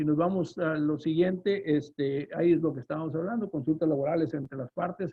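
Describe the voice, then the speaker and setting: Fairly high-pitched male voice with a northern Mexican accent and fairly even intonation. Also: fairly quick pace. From northern Mexico. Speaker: lawyer and trade consultant. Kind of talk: webinar presentation. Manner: fast; loud.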